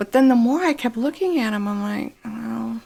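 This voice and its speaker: A woman's voice, fairly high in pitch. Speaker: gaming streamer. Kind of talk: casual gameplay commentary. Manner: slow.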